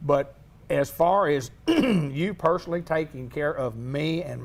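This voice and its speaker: A man with an Arkansas accent talks in a fairly high pitch with ordinary pitch variation. Noticeable background noise can be heard. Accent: Southern US (Arkansas). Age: 60s. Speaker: local TV host. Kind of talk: interview.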